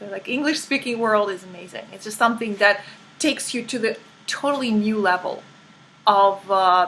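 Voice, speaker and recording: With a Russian accent, a woman speaks at a fairly high pitch and ordinary pitch variation. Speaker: life coach. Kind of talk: interview. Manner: halting.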